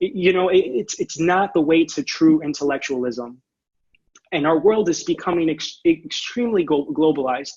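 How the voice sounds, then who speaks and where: Lively intonation at a fairly quick pace. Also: man. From Orlando, Florida (born in Puerto Rico). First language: Spanish. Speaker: education presenter, academic. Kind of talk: conference presentation. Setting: online video presentation with screen share. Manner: halting, many repetitions and fillers.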